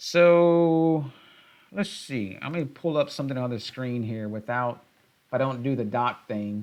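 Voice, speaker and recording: Someone with a Southern US accent speaks at a fairly slow pace against a quiet background. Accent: southern drawl. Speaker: tech YouTuber. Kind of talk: live stream tutorial. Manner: halting.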